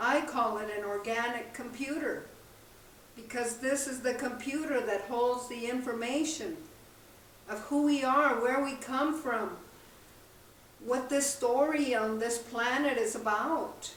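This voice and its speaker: A woman's high-pitched voice, fairly even in intonation, at a fairly slow pace with long, frequent pauses, amid noticeable background noise and audible room echo. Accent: American. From southern New Mexico. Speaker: spiritual teacher and drummer. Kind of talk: spiritual talk. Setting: outdoors by a campfire.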